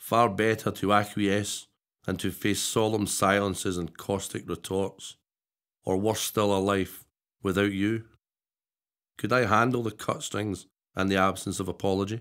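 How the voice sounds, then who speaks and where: Long, frequent pauses break up the fairly slow, monotone, flat delivery, set against a quiet background. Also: man, fairly low pitch for a man. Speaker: poet. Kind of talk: poetry reading. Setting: studio. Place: studio.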